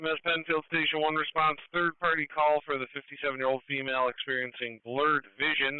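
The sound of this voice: A man speaks at a fairly quick pace with little pitch movement, his pitch fairly high for a man. The tone is clear and smooth, and the sound is dry and close with no echo.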